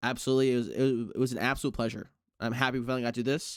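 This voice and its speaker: The recording is very clean with a silent background, and the man's pitch is medium. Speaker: podcast host. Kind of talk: podcast interview. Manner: low energy.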